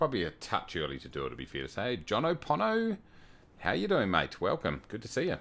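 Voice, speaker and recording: A man speaks very fast with vocal fry. The recording is very clean, with a silent background. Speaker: flight sim streamer. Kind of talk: casual livestream commentary. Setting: home at night, others asleep. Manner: soft-spoken.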